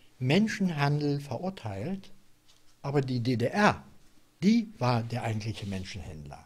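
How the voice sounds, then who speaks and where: This man's voice sits fairly high and is somewhat breathy. His intonation is lively. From Silesia. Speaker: former East German political prisoner. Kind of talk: oral history interview answer. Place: home room. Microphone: studio mic.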